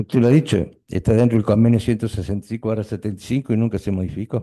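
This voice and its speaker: Very fast and fairly low pitched, a man speaks with a dark, mellow tone and fairly even intonation. The background is quiet. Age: 60s. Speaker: trial witness, retired union official. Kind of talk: court testimony.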